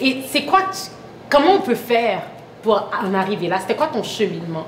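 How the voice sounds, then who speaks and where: Very fast speech in a Quebec accent comes through audible room echo and noticeable background noise. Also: woman. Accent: Québécois French. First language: French. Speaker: talk show host. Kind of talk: interview. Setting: studio set.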